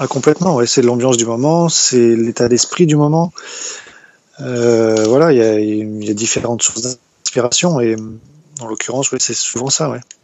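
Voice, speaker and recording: Fairly slow pace with long, frequent pauses and ordinary pitch variation. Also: man, medium pitch for a man. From France, Brittany (Morbihan). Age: 30s. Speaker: wildlife photographer. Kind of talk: interview. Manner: halting.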